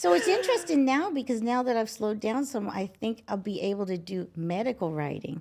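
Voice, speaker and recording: Delivered in an unremarkable speaking voice with an American accent, the speech moves at a fairly quick pace with hardly any pauses. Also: woman, fairly high pitch for a woman. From Ohio. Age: 60s. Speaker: gynecologist. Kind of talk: interview.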